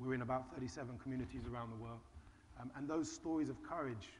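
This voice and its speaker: Talking very fast with a British accent, a man uses a medium pitch and ordinary pitch variation, and the room echo is audible. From Britain. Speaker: charity founder. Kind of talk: panel discussion.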